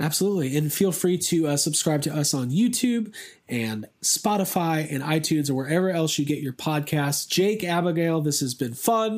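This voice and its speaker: A man with a plain, everyday voice, fairly high in pitch, with lively intonation, a moderate pace and hardly any pauses, on a very clean recording with a silent background. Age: 30s. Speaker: podcast host. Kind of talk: casual chat.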